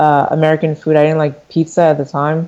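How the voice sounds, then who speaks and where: A woman speaks with a Philadelphia accent in a very deep, low pitch. Her tone is dark and mellow. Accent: US Northeast, Philadelphia. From Philadelphia area, US (from Nigeria at six). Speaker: fashion entrepreneur. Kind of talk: interview.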